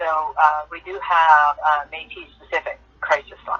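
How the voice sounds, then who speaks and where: A fairly slow pace against noticeable background noise. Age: 60s. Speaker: Métis community member, guest. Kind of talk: interview on talk show.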